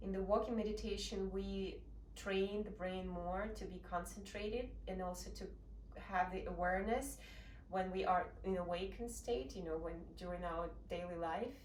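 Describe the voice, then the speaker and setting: Through audible room echo and noticeable background noise, a woman with a Russian accent talks at a moderate pace. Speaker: meditation practitioner sharing experience. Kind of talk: informal explanation talk.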